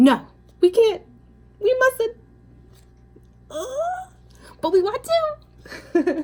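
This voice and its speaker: A woman's put-on character voice, extremely high-pitched and playful, very slow and broken by long, frequent pauses. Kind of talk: bedtime story. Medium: read story. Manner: playful, expressive.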